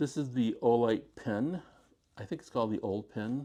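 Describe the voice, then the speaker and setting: A man with a dark, mellow tone talks at a fairly quick pace, his intonation lively. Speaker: gear reviewer. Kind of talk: product review. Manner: halting.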